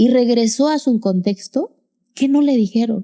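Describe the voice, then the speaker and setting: The voice has a dark, mellow tone and ordinary pitch variation, recorded with a dry, close sound and no echo. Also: woman. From Mexico, Sierra Sur of Oaxaca. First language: Zapotec (speaking Spanish). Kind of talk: interview testimony.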